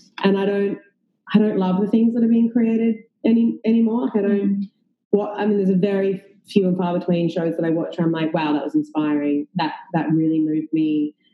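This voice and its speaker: A woman with an Australian accent, ordinary pitch variation and a fairly quick pace. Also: medium pitch for a woman. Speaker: actress and filmmaker. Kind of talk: casual chat.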